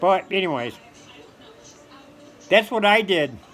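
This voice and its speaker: A man with a high pitch speaks at a moderate pace over noticeable background noise. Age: 60s. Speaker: stand-up comedian. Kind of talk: casual monologue to camera. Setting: at home on the couch. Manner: animated.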